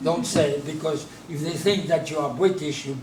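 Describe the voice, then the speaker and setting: Through noticeable background noise and audible room echo, a man with a French accent speaks fairly quickly at a fairly high pitch. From France, Normandy. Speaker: businessman and D-Day memorial advocate. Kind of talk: interview.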